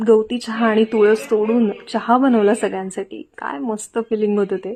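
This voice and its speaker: This voice is soft-spoken with a dark, mellow tone. The intonation stays fairly even. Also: woman. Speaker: vlogger. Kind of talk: vlog voiceover.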